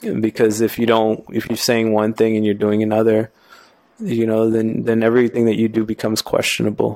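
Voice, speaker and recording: A man with an American accent has a dark, mellow tone at a medium pitch and speaks at a fairly quick pace. His intonation is monotone and flat, and his loudness stays very even. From New York. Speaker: tattoo artist guest. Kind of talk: casual conversation. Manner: fast talker.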